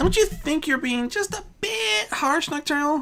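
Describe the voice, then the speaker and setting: A put-on character voice speaks at a high pitch. The pace is moderate. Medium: read story. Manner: gentle, motherly.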